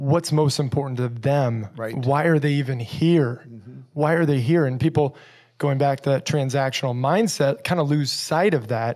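In an ordinary speaking voice, a man talks at a fairly high pitch with ordinary pitch variation. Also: moderate pace. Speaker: podcast host, mortgage professional. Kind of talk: casual chat.

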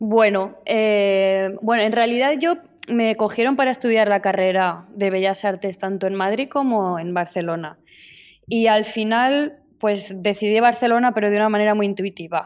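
With a plain, everyday voice, a woman speaks at a medium pitch and moderate pace, her pitch varying in an ordinary way. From Spain, Zaragoza. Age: 30s. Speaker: painter. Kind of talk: interview. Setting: remote call from her studio.

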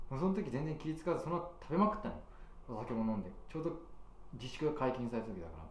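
A man talks at a very fast pace with lively intonation and a fairly high pitch, with audible room echo and noticeable background noise. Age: 30s. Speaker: podcast co-host. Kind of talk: casual chat. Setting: small restaurant after work.

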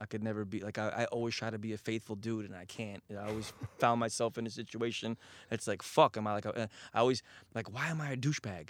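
A man with an American accent, fairly low in pitch, at a very fast pace and with fairly even intonation. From Queens, New York. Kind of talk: casual chat.

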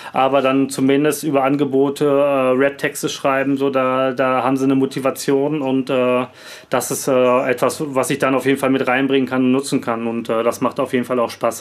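A man speaks at a moderate pace with a medium pitch. His intonation is monotone and flat, and his loudness stays very even. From Bielefeld, Germany. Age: 30s. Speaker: rapper and music producer. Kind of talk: casual interview chat. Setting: home studio, video call.

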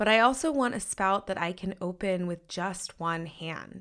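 A woman speaks at a medium pitch with ordinary pitch variation. She has an unremarkable speaking voice. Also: very clean recording, silent background. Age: 30s. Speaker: podcast host. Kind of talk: solo podcast monologue.

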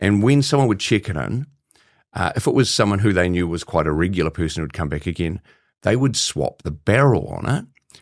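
In a New Zealand accent, a man talks at a fairly quick pace with a very deep, low pitch and lively intonation. The recording is very clean, with a silent background. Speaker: psychologist and speaker. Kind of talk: interview.

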